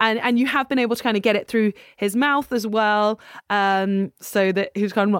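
A woman speaks at a medium pitch and a moderate pace with fairly even intonation. Her tone is clear and smooth, in a very clean recording with a silent background and a dry, close sound with no echo.

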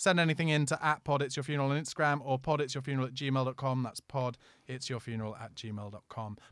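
A medium-pitched man with a London accent, very fast pace and ordinary pitch variation, in a very clean recording with a silent background. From East London. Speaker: podcast host. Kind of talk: casual chat.

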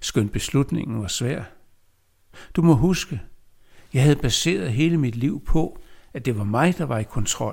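On a very clean recording with a silent background, a man speaks very slowly in a somewhat breathy voice. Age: 70s. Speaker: poet. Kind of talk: reading aloud.

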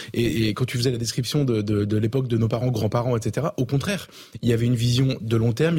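A medium-pitched man at a very fast pace. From Avignon, southern France. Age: 30s. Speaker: journalist. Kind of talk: televised panel debate. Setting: TV studio. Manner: halting, many hesitations.

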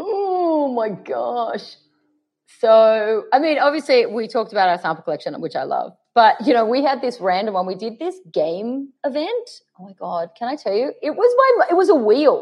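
Speaking at a moderate pace with an Australian accent, a woman uses a high pitch that swings very widely, her loudness rising and falling sharply. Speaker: makeup artist and fragrance brand founder. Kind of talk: casual interview.

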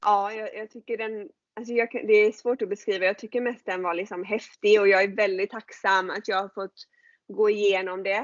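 Her voice sits at medium pitch as the woman talks at a moderate pace with fairly even intonation. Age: 30s. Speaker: coach and author. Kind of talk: casual chat. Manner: halting.

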